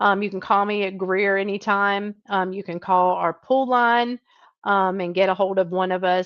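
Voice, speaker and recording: A woman with a Southern US accent. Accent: Southern drawl. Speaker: trucking recruiter. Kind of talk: live stream Q&A. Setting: live video stream. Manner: casual, chatty with fillers.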